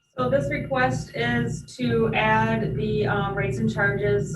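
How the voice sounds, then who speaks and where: A woman at a fairly slow pace with very wide pitch swings, audible room echo, and music in the background. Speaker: airport director. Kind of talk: board meeting presentation. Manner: hesitant, many fillers.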